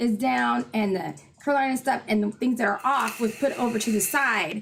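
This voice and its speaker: Music plays in the background while a woman talks in a fairly high voice. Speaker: livestream co-host. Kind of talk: casual chat. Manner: loud.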